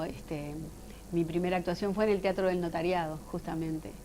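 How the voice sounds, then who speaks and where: Using a normal speaking voice, a woman talks at a moderate pace and fairly low pitch with fairly even intonation. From Uruguay. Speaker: actress and voice actor. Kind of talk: interview.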